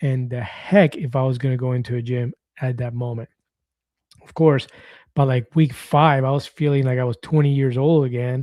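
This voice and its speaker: A man at medium pitch speaks with a dark, mellow tone, fairly even intonation and big swings in loudness, the sound dry and close with no echo in a very clean recording with a silent background. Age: 50s. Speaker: weight-loss vlogger. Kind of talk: live stream chat reading comments. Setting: live stream. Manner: fast.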